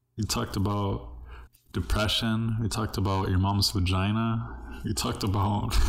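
A somewhat breathy man with a fairly low pitch and long, frequent pauses. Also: very even loudness. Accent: American. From Southern California (El Monte). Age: 20s. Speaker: podcast host and comedian. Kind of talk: casual chat.

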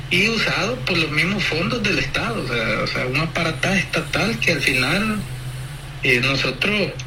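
Noticeable background noise accompanies a man who talks fairly slowly at a fairly high pitch. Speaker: opposition political candidate. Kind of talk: phone interview.

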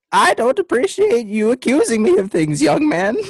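This put-on character voice sits fairly high and swings very widely in pitch. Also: moderate pace. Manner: indignant, prim.

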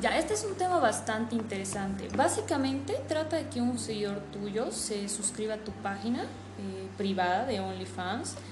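A woman's voice at a moderate pace, with audible room echo and noticeable background noise. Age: 20s. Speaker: online adult content creator. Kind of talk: interview.

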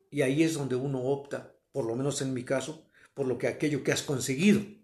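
This man has a fairly high, somewhat breathy voice. He talks at a fairly quick pace with fairly even intonation. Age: 60s. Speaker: host's father. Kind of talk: interview.

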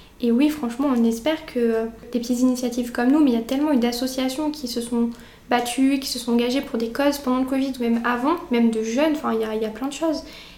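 Amid noticeable background noise and audible room echo, a woman talks at a very fast pace in a high pitch with fairly even intonation. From France, Auvergne (near Brioude). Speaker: student association president. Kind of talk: casual interview. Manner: hesitant, many fillers.

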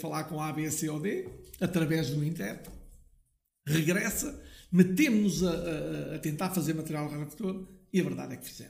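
A man with vocal fry speaks at a moderate pace and a fairly high pitch. His pitch varies in an ordinary way, and audible room echo surrounds him. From Portugal, Lousã (central interior). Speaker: family business owner, liqueur maker. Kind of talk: interview, storytelling. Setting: his factory premises.

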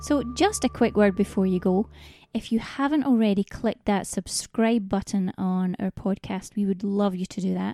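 A woman's voice at a medium pitch with ordinary pitch variation, dry and close with no echo, over music in the background. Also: moderate pace. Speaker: podcast host. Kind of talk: casual interview chat.

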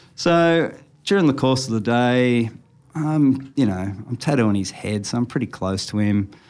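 A man speaks with an Australian accent at a fairly slow pace. His medium-pitched voice has lively intonation. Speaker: tattoo artist. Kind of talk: casual chat. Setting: studio.

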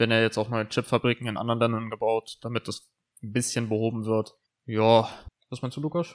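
Speaking at a fairly quick pace, a man keeps a medium pitch with monotone, flat intonation. The sound is dry and close, with no echo. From northern Germany, Lower Saxony (Brake). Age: 19. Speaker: podcast co-host, gamer. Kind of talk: casual chat. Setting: club room. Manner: hesitant, many fillers.

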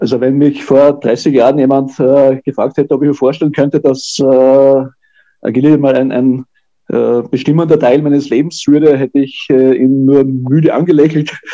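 The delivery is monotone with flat intonation and very even loudness, at a moderate pace. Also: man, fairly high pitch for a man. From Austria. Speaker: dog agility judge and trainer. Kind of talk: interview. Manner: halting, many repetitions and fillers.

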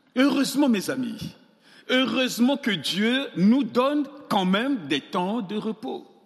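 A man speaks at a very slow pace in an extremely high pitch. His intonation is lively. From Central African Republic. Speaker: pastor. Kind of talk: sermon. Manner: animated.

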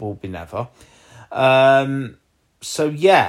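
A man speaks with an East Midlands accent on a very clean recording with a silent background. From Leicestershire, England. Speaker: podcaster. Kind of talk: solo podcast update. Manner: hesitant, with frequent fillers.

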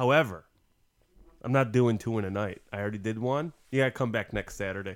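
Speaking at a very fast pace, a man with a medium-pitched voice leaves long, frequent pauses. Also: ordinary pitch variation. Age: 30s. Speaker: podcast host, homebrewer. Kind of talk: casual chat.

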